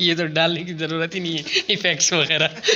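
A man's fairly high, bright, sharp voice at a fairly quick pace, with little pitch movement and faint background noise

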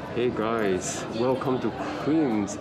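A man talks at a fairly slow pace. Loud background noise is present. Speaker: sketching vlogger. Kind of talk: casual vlog chat. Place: cafe. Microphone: phone near.

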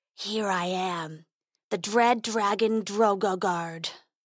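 Using a put-on character voice, a woman growls at a medium pitch in a menacing tone, at a fairly slow pace. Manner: growling, menacing.

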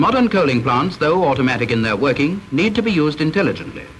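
Noticeable background noise accompanies a stern tone delivered at a fairly quick pace with very wide pitch swings. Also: man. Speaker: film narrator. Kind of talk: scripted narration. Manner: formal, measured, brisk; stern, instructive, dry.

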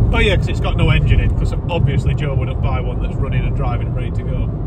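A man's voice comes through dry with no echo, over loud background noise. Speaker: vlogger. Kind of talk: casual vlog chat. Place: car. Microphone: phone near.

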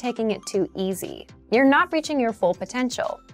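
A woman's high-pitched voice at a moderate pace, with faint music in the background. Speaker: language course host. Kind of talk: tutorial presentation. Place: studio. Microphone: lapel.

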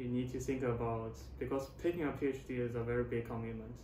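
A man with a Chinese accent at a moderate pace, over noticeable background noise. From China. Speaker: postdoctoral researcher. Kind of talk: interview. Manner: halting. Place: office. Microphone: camera far.

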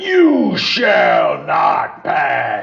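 A man shouts in a put-on character voice. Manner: bellowing, commanding.

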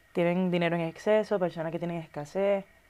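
A woman's fairly low-pitched voice with a dark, mellow tone. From Puerto Rico. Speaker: actress and influencer; interview guest. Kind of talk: casual interview chat; interview answer. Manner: animated. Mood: relaxed, reflective. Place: studio. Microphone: lapel.

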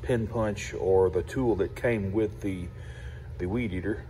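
A man's dark, mellow voice with vocal fry at a fairly slow pace, over light background noise. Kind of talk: tutorial. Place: workshop. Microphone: phone near.

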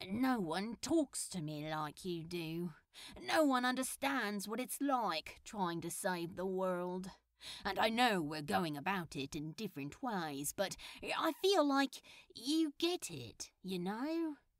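A put-on character voice, female-sounding and middle-pitched, drawling at a fairly slow pace. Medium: read story. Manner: casual, sarcastic, drawling.

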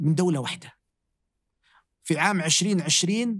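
A man speaks at a fairly slow pace in a high voice with ordinary pitch variation. The background is quiet. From Saudi Arabia. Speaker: inventor; podcast guest. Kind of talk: interview conversation. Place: studio.

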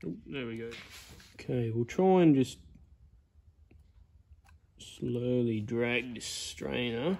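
A man's slow, dark and mellow voice with vocal fry, broken by long, frequent pauses. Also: medium pitch for a man, ordinary pitch variation.

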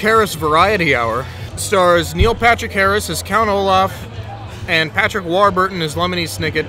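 A man's high voice at a moderate pace, dry with no echo, over faint music in the background. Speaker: show host. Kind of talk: casual review discussion. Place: bar. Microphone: studio mic.

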